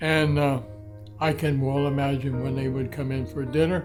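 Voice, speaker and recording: Music plays in the background as a man talks at a fairly high pitch with ordinary pitch variation. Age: 80s+. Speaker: homeowner and storyteller. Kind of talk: interview answer. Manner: spirited.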